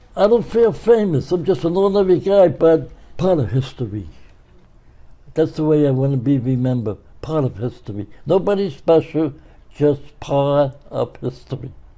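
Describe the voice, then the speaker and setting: Somewhat breathy and dark, mellow in tone, the voice comes at a moderate pace in a Brooklyn accent. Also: man, fairly high pitch for a man, lively intonation. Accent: New York, Brooklyn. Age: 80s+. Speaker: retired florist and pen pal to world leaders. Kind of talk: interview.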